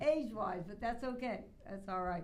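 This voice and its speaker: Her voice sits fairly high for a woman. Audible room echo surrounds the recording. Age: 80s+. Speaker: radio host. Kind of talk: interview. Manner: animated.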